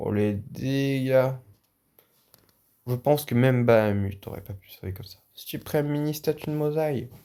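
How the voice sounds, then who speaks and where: The voice is loud, with a fairly slow pace and ordinary pitch variation. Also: man, medium pitch for a man. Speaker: gaming YouTuber. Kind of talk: gameplay commentary. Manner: animated.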